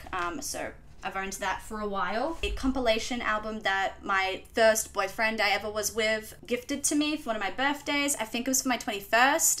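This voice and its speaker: Talking at a moderate pace, a woman with a strong Australian accent uses a fairly high pitch and ordinary pitch variation. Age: 20s. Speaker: vlogger. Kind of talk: casual chat. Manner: casual, hesitant.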